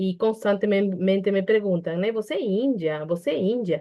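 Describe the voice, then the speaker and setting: A woman with a Peruvian accent, medium pitch, ordinary pitch variation and a moderate pace. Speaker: psychologist. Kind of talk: online panel debate. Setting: online video call. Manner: hesitant, with fillers and restarts.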